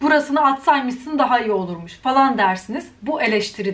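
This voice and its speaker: Delivered at a moderate pace, the speech has an animated tone. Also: woman. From Turkey. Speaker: YouTuber. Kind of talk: vlog rant.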